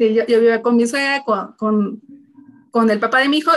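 Her voice is a normal speaking voice, fairly high for a woman, with fairly even intonation. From Mexico City. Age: 30s. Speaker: human resources executive and single mother. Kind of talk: casual interview chat.

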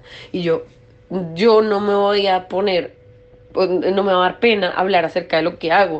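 A woman's fairly low-pitched voice comes through noticeable background noise. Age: 20s. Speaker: industrial designer. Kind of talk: interview testimony.

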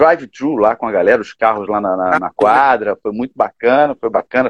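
A man speaks at a moderate pace. His is an unremarkable speaking voice. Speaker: gospel musician. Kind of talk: casual chat.

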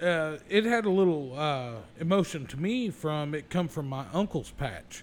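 Here is a man with an American accent and a normal speaking voice, pitched fairly high. He talks at a fairly slow pace with lively intonation. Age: 40s. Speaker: podcast host. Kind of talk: casual chat.

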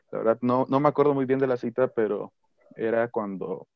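A man with a plain, everyday voice, medium pitch, moderate pace and fairly even intonation. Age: 18. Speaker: pastor's son, church youth member. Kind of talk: casual chat.

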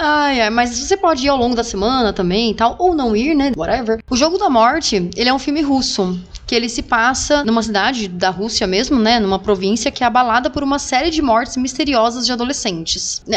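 A woman speaks in a high voice with lively intonation. Her loudness stays very even, and she hardly pauses. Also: fairly quick pace. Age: 30s. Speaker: podcast host. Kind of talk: casual chat.

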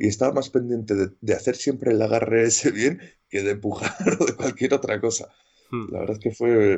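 The pace here is moderate, with ordinary pitch variation. It is a normal speaking voice. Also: man. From Castile and León, Spain (Medina de Rioseco, Valladolid). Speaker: rugby player. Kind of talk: interview. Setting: remote interview during lockdown at home.

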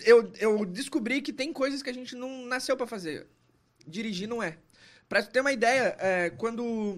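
A man talks at a moderate pace and with ordinary pitch variation, on a very clean recording whose background is silent. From Caxias do Sul, Rio Grande do Sul, Brazil. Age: 30s. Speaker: poet and comedian. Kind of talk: casual chat.

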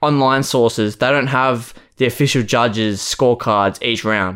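The man talks at a moderate pace on a very clean recording with a silent background. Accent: Australian. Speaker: podcast co-host. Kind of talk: casual chat.

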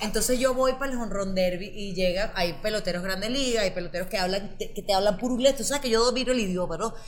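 Amid noticeable background noise and audible room echo, a woman talks at a very fast pace, her medium pitch showing ordinary variation. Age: 30s. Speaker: podcast co-host, comedian. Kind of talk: casual comedic chat.

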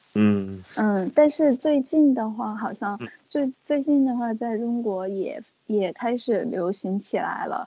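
Speaking at a very slow pace, a woman uses a fairly high voice with a dark, mellow tone and ordinary pitch variation. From China, Chongqing. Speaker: Chinese guest co-speaker. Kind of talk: casual bilingual chat.

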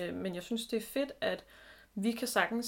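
A woman with a normal speaking voice, ordinary pitch variation and a fairly slow pace. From Denmark, Zealand. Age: 30s. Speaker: podcast co-host. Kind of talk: casual chat. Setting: home bedroom.

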